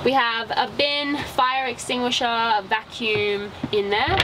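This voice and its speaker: Ordinary pitch variation from a woman, with noticeable background noise behind her. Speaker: travel vlogger. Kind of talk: casual vlog chat. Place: car.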